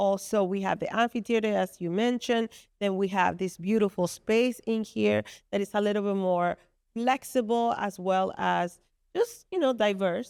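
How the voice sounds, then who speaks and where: A woman speaks with a Spanish accent and fairly even intonation. The sound is dry and close with no echo, a very clean recording with a silent background. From Dominican Republic. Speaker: venue co-founder and commercial real estate professional. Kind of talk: casual interview chat. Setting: podcast recorded at venue headquarters. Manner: halting.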